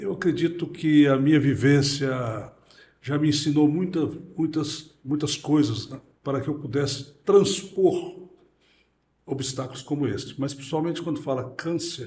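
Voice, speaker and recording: A man speaks at a fairly slow pace, his voice fairly high and somewhat breathy. His pitch varies in an ordinary way, and room echo is audible. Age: 60s. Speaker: prostate cancer survivor. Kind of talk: interview. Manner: halting.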